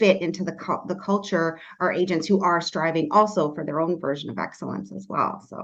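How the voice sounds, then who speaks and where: A woman with an ordinary speaking voice and a Canadian accent speaks at a fairly low pitch and a moderate pace with fairly even intonation. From Canada. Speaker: real estate agent and team leader. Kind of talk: podcast interview.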